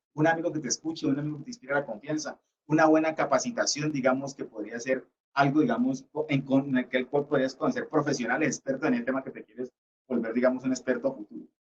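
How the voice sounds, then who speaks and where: Speaking at a very fast pace, a man with a Cali accent has a fairly high pitch. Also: ordinary pitch variation. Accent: Cali (caleño) Colombian Spanish. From Colombia, Cali. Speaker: lecturer. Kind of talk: lecture.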